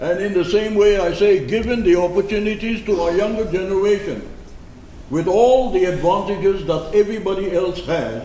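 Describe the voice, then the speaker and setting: With noticeable background noise and audible room echo, a man speaks at a moderate pace in a high pitch with ordinary pitch variation. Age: 70s. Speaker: civil society speaker. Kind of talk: public speech. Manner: formal.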